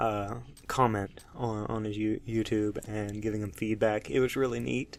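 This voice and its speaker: In an American accent, a man speaks at a fairly low pitch with fairly even intonation. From US South, Alabama. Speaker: gaming YouTuber. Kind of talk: let's play commentary. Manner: slow, low tone; halting, many fillers.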